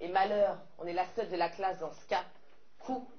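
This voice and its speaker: A woman is heard with noticeable background noise. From French Caribbean. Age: young. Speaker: slam poet. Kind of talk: slam poetry performance.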